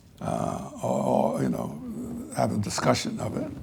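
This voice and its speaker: A man speaks with an American accent at a moderate pace, his very deep, low pitch making very wide swings. Audible room echo and noticeable background noise fill the recording. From US Northeast (South Jersey, Pennsylvania). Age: 80s+. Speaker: civil rights veteran, lecture speaker. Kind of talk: lecture.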